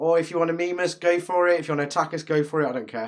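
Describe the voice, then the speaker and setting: The recording is very clean, with a silent background. A man with a fairly high pitch talks in a British accent. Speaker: podcast co-host. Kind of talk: casual chat.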